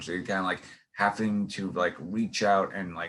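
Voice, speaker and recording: A very deep, low-pitched man with a New York accent and a bright, sharp tone, fairly quick and flat in a monotone, on a very clean recording with a silent background. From New York City. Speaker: podcast host and actor. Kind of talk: casual interview chat. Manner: halting, many fillers and restarts.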